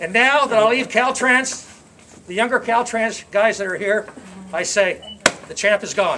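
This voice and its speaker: Against noticeable background noise, a high-pitched man projects a raised voice, pausing long and often. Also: ordinary pitch variation, moderate pace. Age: 60s. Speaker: retiree giving a speech at his own party. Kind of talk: farewell speech to friends. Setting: party with live audience. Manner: halting, repeats words.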